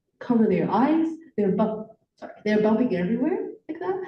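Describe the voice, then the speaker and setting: Audible room echo surrounds a woman whose voice is fairly high. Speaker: teacher. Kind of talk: panel discussion. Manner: loud.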